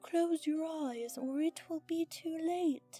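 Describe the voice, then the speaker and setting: A woman does a put-on character voice at an extremely high pitch, speaking fairly slowly with fairly even intonation over faint background music, the sound dry and close with no echo. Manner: warning, urgent.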